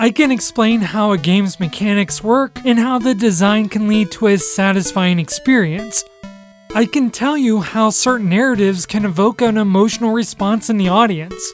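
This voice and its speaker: Background music accompanies speech delivered at a moderate speed. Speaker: video game commentator. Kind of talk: video essay narration.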